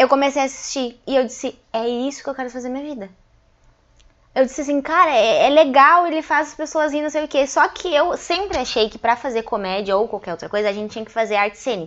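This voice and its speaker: Against a quiet background, a woman speaks at a very fast pace in a high pitch with lively intonation. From Passo Fundo, Rio Grande do Sul, Brazil. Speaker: stand-up comedian. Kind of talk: casual interview chat.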